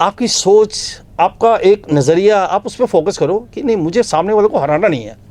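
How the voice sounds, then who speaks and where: In a dry, close sound with no echo, a man talks with hardly any pauses, a high pitch, ordinary pitch variation and big swings in loudness. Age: 60s. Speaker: motivational speaker. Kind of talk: interview.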